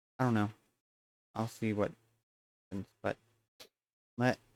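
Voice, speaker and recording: A soft-spoken man talks at a fairly quick pace, the sound dry and close with no echo. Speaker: streamer. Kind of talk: live stream gaming chat.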